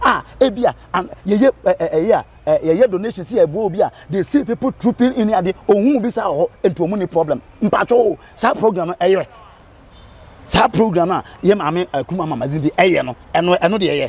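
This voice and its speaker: A loud, high-pitched man with a Ghanaian accent at a fairly quick pace, in a dry, close sound with no echo. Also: lively intonation. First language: Twi. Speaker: radio presenter. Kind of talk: casual chat. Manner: halting.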